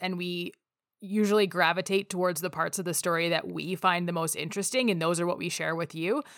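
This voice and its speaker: A woman with a Canadian accent and a normal speaking voice, fairly low in pitch, with fairly even intonation, in a very clean recording with a silent background. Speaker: podcast host. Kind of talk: casual conversational podcast.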